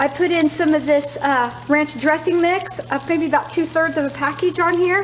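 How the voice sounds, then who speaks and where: A woman's high-pitched voice with ordinary pitch variation, amid noticeable background noise. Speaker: cooking vlogger. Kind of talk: cooking tutorial vlog. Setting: home kitchen. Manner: fast; casual, hesitant with fillers.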